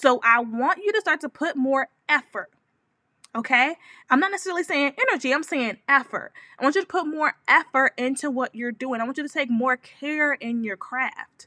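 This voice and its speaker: In a dry, close recording with no echo, a woman projects a raised, high, bright and sharp voice with lively intonation. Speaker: business coach. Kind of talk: live stream talk. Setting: home office. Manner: fast.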